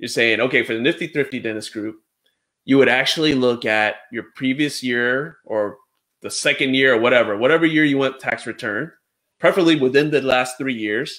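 Speaking at a moderate pace, a man has a medium pitch, a fairly bright tone and ordinary pitch variation.

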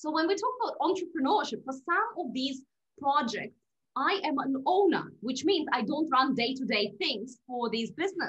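Her pitch high and swinging very widely, a woman speaks against a quiet background. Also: moderate pace. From Russia. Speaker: podcast guest. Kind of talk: interview. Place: home room. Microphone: video call.

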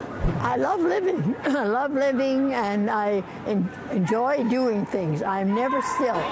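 A woman with a high voice speaks at a very slow pace, her pitch swinging very widely over noticeable background noise. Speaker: curler. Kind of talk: interview answer. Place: stadium. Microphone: phone near.

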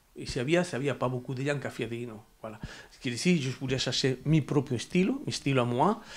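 This man's voice sits fairly high, moving at a fairly quick clip with ordinary variation in pitch. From Andalusia, Spain. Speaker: sculptor. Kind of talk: interview; interview answer. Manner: halting. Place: home room. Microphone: lapel.

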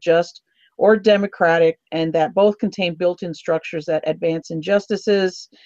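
A woman talks at a moderate pace with fairly even intonation and fairly low pitch. The sound is dry with no echo, over a quiet background. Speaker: political party officer and forum host; forum host. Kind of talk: candidate forum interview. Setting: phone call. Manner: halting, many fillers. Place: home room. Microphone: earbuds.

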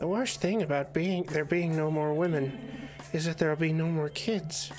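Clear music plays in the background as a man in a put-on character voice speaks at a fairly high pitch and moderate pace. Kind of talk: comic dub of game text. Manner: tough-talking, then nervous.

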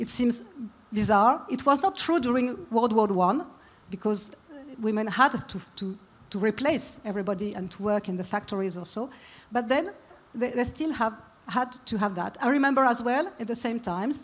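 A woman with a French accent talks at a fairly high pitch with lively intonation, leaving long, frequent pauses. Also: moderate pace. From France. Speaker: businesswoman and forum co-founder. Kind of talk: panel discussion. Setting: stage with audience. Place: stage. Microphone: handheld.

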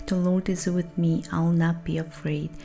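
Faint music plays in the background as a woman speaks with a calm tone, a fairly low pitch and a monotone, flat intonation. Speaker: songwriter. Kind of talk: soft-spoken ASMR Bible reading. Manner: soft-spoken, calm, slow. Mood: earnest, devotional. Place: home room. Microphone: studio mic.

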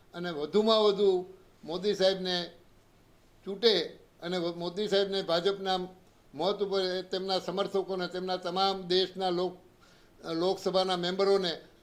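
A man's high-pitched voice with monotone, flat intonation. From Gujarat, Saurashtra (Gondal area). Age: 80s+. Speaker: retired politician. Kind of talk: public statement to press.

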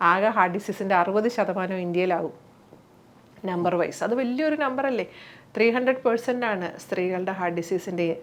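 A woman with a plain, everyday voice speaks with ordinary pitch variation. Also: medium pitch for a woman. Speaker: cardiologist and community organisation president. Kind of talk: interview.

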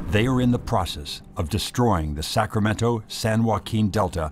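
Over background music, a man talks at a moderate pace with a fairly low pitch. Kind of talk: documentary narration.

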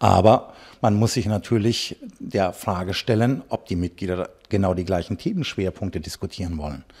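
A plain, everyday voice at a moderate pace, with ordinary pitch variation and a quiet background. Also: man, fairly low pitch for a man. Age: 40s. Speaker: farmer and party politician; party politician. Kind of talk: political interview. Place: office. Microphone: handheld.

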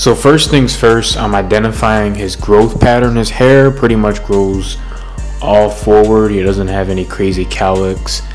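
Faint music plays in the background. A man talks at a fairly slow pace. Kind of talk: tutorial. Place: shop.

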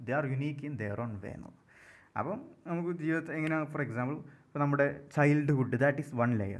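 A man at a fairly high pitch, with audible room echo. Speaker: English literature tutor. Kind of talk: lecture.

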